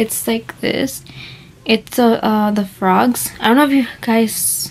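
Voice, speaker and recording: Light background noise sits under a woman's voice. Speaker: vlogger. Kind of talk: casual vlog chat. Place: home room. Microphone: phone near.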